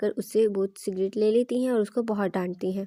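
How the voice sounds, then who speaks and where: Dry and close with no echo, a woman's dark, mellow voice holds fairly even intonation. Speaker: movie explainer / voice-over narrator. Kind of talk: movie recap narration.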